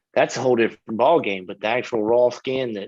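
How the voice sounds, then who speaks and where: Monotone and flat, a man speaks at a medium pitch. He has an American accent. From US South, Florida (Lithia). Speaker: missionary. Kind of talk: interview.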